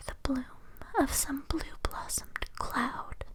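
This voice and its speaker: A whisper can be heard. There is noticeable background noise as well. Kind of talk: poetry reading; ASMR sleep reading. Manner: whispered, soft-spoken.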